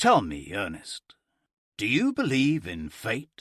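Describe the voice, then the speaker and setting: A put-on character voice from a man, medium pitch at a fairly slow pace. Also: very clean recording, silent background. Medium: read story. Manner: teasing, self-assured.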